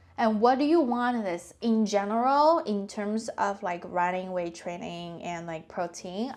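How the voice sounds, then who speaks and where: A woman with a non-native accent at medium pitch, fairly slow in pace with hardly any pauses and lively intonation. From China. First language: not English. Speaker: personal finance vlogger. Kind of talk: casual vlog talk. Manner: halting, many fillers.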